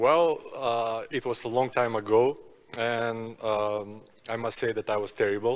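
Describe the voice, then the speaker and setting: A man speaks at a fairly slow pace with a Macedonian accent. His pitch is medium and his intonation fairly even. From North Macedonia. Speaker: basketball player. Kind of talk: panel discussion.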